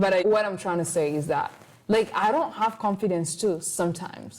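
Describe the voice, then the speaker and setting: A woman with a non-native accent speaks at a medium pitch and a moderate pace, with ordinary pitch variation. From Rwanda. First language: not English. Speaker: podcast host, college student. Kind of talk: casual chat. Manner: animated; halting.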